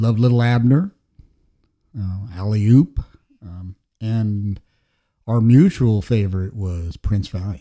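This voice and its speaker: A man with an American accent speaks very slowly at a fairly low pitch, with a dark, mellow tone, ordinary pitch variation and long, frequent pauses. His loudness swings widely, on a very clean recording with a silent background. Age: 60s. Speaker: painter and illustrator. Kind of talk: casual chat. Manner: halting, many fillers and repeated words.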